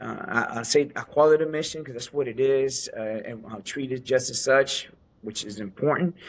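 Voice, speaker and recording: A man with a medium-pitched voice speaks in an American accent with ordinary pitch variation. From US Northeast, New Jersey / New York City. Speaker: podcast co-host, retired Navy veteran. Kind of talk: casual podcast introduction. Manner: halting, many fillers.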